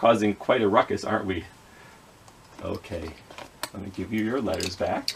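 With ordinary pitch variation and a fairly low pitch, a man talks at a moderate pace, his loudness swinging widely over light background noise. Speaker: children's educator. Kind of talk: children's phonics lesson. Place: home room.

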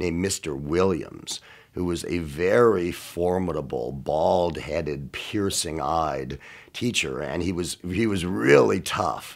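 A man speaks at a very slow pace in a very deep, low voice with ordinary pitch variation. The background is quiet. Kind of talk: interview answer. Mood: warm, amused nostalgia. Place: studio.

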